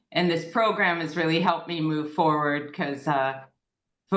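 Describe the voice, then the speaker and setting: A woman's very deep, low voice carries a bright, sharp tone. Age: 60s. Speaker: club member asking questions. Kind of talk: casual Q&A on video call. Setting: video call.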